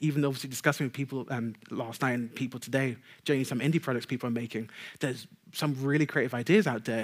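A man with a London accent talks at a very fast pace against a quiet background. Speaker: technical game designer; conference speaker. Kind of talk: conference talk. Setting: stage with audience. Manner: stutter, pauses; fast talker. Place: stage.

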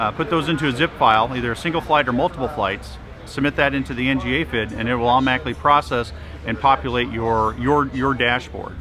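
Over music in the background, a man talks at a very fast pace with ordinary pitch variation and a dry sound with no echo. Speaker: presenter. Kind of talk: interview answer. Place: hall.

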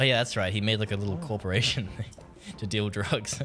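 Music plays in the background as a man talks at a very fast pace in an Australian accent. His voice sits fairly low, with ordinary pitch variation. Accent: Australian, non-rhotic. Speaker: video game streamer. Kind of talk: live gameplay stream chat. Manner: casual, animated.

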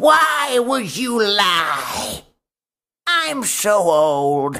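Putting on a character voice, a man speaks at a high pitch with very wide pitch swings.

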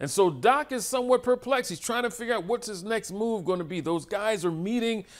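Over a quiet background, a man talks at a fairly quick pace with hardly any pauses. His pitch is high, with ordinary variation. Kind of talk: lecture. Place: hall.

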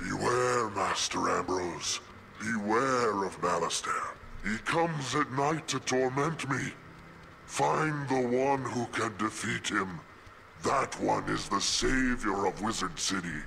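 Using a put-on character voice, a man speaks at a medium pitch and a fairly slow pace against clear background noise. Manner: ominous warning.

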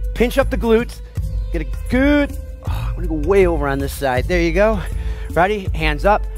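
A man at a moderate pace over background music, in a dry sound with no echo. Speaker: fitness instructor. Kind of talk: workout instruction. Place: gym.

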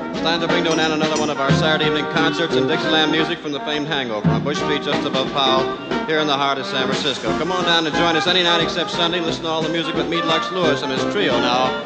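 A man speaking at a very fast pace with ordinary pitch variation, music in the background. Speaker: radio announcer. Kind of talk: broadcast sign-off announcement. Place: bar.

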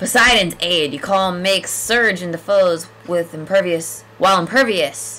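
The text is read in a natural reading voice, with pitch that varies in an ordinary way.

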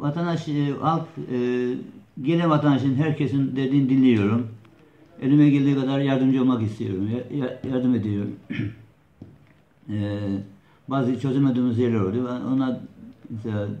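A man's dark, mellow voice at a moderate pace, with ordinary pitch variation, long, frequent pauses and audible room echo. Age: 60s. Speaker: neighbourhood headman. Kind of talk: interview answer. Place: office. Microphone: camera far.

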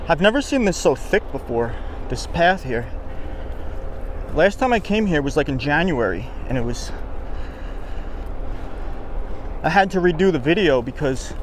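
Talking at a moderate pace with long, frequent pauses, a man with a high pitch comes through in a dry sound with no echo over light background noise. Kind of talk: casual vlog chat. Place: open country. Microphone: phone near.

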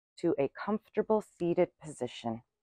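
Against a quiet background, a woman speaks at a fairly slow pace with lively intonation and vocal fry, in a dry sound with no echo. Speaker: yoga instructor. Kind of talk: guided yoga class instruction. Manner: steady counted breath cues. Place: garden.

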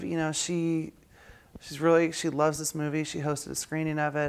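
A woman with a very deep, low voice talks at a moderate pace. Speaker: actress and singer. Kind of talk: casual interview. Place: home room. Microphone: lapel.

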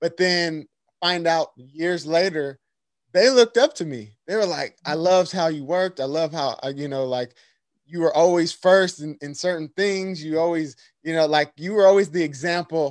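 Against a quiet background, a man with a high pitch speaks at a moderate pace with ordinary pitch variation. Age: 30s. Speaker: podcast host and actor; podcast host. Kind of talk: interview. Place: home room. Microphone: studio mic.

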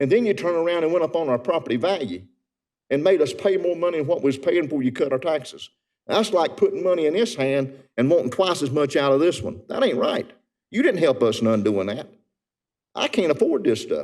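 Speaking fairly quickly with a North Carolina accent, this man has a fairly high pitch, lively intonation and noticeable vocal fry. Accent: Southern US (North Carolina). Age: 70s. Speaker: resident speaking at public comment. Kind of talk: public comment at council meeting. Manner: earnest, impassioned.

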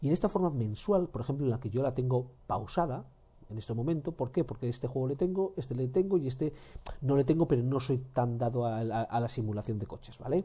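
On a very clean recording with a silent background, a man talks very fast in a medium-pitched, somewhat breathy voice with a dark, mellow tone and ordinary pitch variation. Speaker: gaming YouTuber. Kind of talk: game deals roundup. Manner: animated.

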